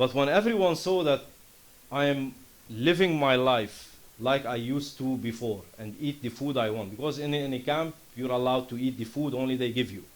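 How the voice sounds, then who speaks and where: Spoken with a Lebanese accent, the words come at a moderate pace with ordinary pitch variation. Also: man, medium pitch for a man. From Lebanon. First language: Arabic. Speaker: startup founder. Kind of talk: conference presentation.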